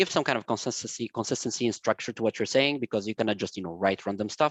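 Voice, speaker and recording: A man's fairly low voice at a very fast pace, over a quiet background. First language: not English, English is his third language. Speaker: recruiter. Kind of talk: interview advice talk.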